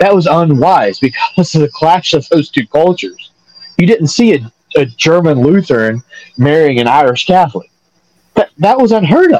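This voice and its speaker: In a Southern US accent, a man speaks at a moderate pace and a fairly high pitch, with very wide pitch swings. His loudness stays very even, and the sound is dry and close with no echo. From North Carolina. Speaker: podcast co-host. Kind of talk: casual chat.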